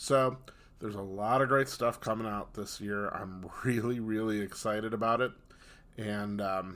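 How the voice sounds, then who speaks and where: A man talks at a medium pitch with ordinary pitch variation. He has an unremarkable speaking voice. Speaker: podcast host and author. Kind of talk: casual interview chat.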